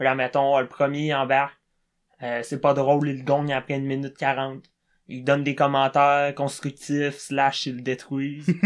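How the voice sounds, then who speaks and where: Against a quiet background, the voice holds a monotone, flat intonation at a moderate pace. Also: man, fairly high pitch for a man. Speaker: comedian. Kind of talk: casual chat.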